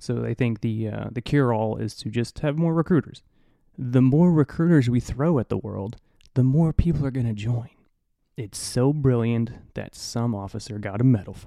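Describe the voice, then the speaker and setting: At a moderate pace, a man speaks in an animated tone with a medium pitch and ordinary pitch variation. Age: 40s. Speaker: navy recruiter and podcast host. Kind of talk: casual solo monologue. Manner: animated, laughs often.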